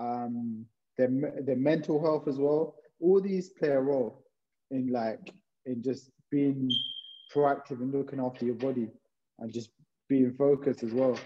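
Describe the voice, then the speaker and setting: A man with a London accent speaks at a fairly slow pace in a medium pitch, his intonation fairly even and broken by long, frequent pauses. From London, England (Hounslow). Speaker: physiotherapist. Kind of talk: casual chat.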